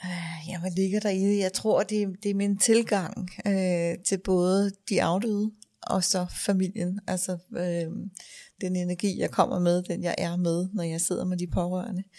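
A woman speaks at a fairly slow pace in a dark, mellow tone with monotone, flat intonation. The recording is very clean with a silent background. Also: medium pitch for a woman. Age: 50s. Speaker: funeral director. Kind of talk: casual interview. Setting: funeral home office. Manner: hesitant, many fillers.

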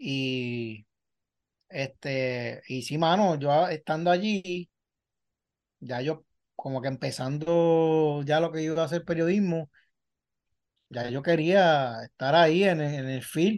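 Ordinary pitch variation over a quiet background. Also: man. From Puerto Rico. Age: 40s. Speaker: sports journalist. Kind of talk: casual interview chat.

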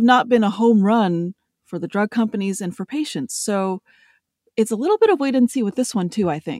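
Lively intonation and a fairly quick pace mark a plain, everyday voice, recorded very cleanly with a silent background and a dry, close sound with no echo. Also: woman. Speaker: science journalist. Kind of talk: news discussion.

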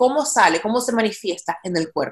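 With a Latin American accent, a woman speaks at a moderate pace, her pitch swinging very widely. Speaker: actress and podcast host. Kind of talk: casual interview chat. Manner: frequent English code-switching.

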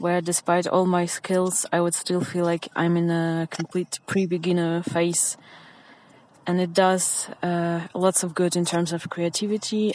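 Against noticeable background noise, a woman speaks at a fairly slow pace in a fairly low pitch. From Ukraine. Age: 20s. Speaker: listener sending voice message. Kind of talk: recorded voice message.

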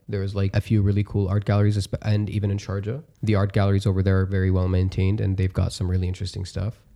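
A man talks very fast, barely pausing, at a fairly low pitch. His tone is dark and mellow, and his intonation stays monotone and flat. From Dubai. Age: 20s. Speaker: podcast studio operator. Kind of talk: casual chat.

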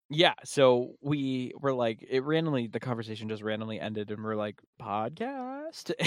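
Here a man speaks at a medium pitch with ordinary pitch variation in an unremarkable speaking voice. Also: moderate pace. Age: 20s. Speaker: music podcast host and playlist curator. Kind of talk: casual chat.

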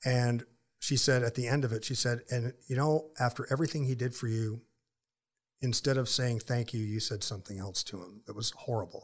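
A man with an American accent talks fairly quickly in a somewhat breathy, medium-pitched voice. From Florida. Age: 50s. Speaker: ministry founder and author. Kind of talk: casual interview chat. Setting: studio.

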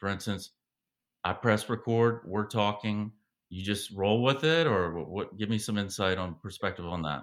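Against a very clean, silent background, a man with an American accent and a plain, everyday voice speaks at a moderate pace, fairly low in pitch with ordinary pitch variation. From US South, Savannah, Georgia. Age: 40s. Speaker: podcast host. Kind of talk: interview.

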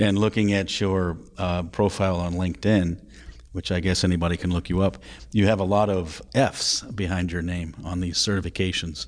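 A man's very deep, low voice at a moderate pace, with fairly even intonation, against a quiet background. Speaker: podcast host. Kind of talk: interview.

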